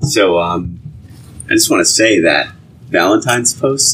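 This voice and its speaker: A man talks at a medium speed, with noticeable background noise behind him. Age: 30s. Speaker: podcast co-host. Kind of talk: casual chat.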